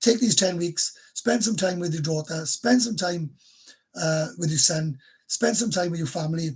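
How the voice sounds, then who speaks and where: A high-pitched male voice with a Welsh accent, ordinary pitch variation and a moderate pace. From Wales. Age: 50s. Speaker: YouTuber. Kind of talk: livestream chat. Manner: casual, halting.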